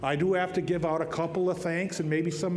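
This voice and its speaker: A man with a high pitch and an American accent talks at a moderate pace in a flat, monotone way. Audible room echo and noticeable background noise are present. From northern Minnesota, Iron Range (Ely). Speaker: TV meteorologist receiving award. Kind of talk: award acceptance speech. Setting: stage at awards dinner with audience. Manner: joking, folksy.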